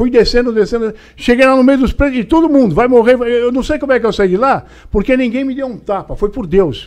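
A man speaks with an extremely high-pitched voice. He talks at a fairly quick pace. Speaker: retired police officer telling stories. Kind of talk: elder telling a life story, recounting a prison visit anecdote. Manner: animated, gripping storytelling with hesitations and repeated words; casual, colloquial, dramatic with reenacted dialogue and shouts. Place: studio. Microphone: studio mic.

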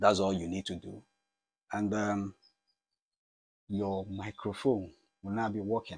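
This man's voice sits fairly low and moves little in pitch as he talks at a fairly slow pace.

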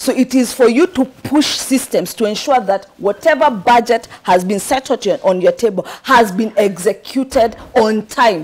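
A woman in a Kenyan accent speaks fairly slowly. Her pitch is fairly high, with ordinary variation. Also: very even loudness. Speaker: political candidate. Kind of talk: studio interview. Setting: studio. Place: studio.

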